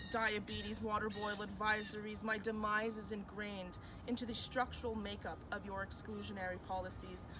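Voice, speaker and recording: Over music in the background, a woman speaks at a fairly quick pace with hardly any pauses. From Mi'kmaq, New Brunswick, Canada. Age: 20s. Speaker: university student. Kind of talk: spoken word poetry performance.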